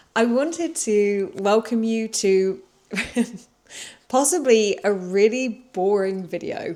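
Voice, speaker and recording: A woman with a British accent at a fairly high pitch, with a dark, mellow tone, lively intonation, a very slow pace and long, frequent pauses. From UK. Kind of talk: casual vlog talk to camera. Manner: slow, clear.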